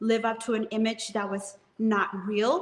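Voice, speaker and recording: A woman speaks with a Spanish accent. Her pitch sits fairly high. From Mexico, moved to US at age seven. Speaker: real estate business owner and author. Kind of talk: interview testimony.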